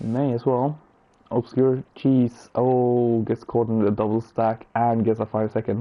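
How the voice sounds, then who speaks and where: With a Swedish accent, a man speaks fairly slowly at a medium pitch in a monotone, flat intonation. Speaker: sim racing commentator. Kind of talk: live commentary.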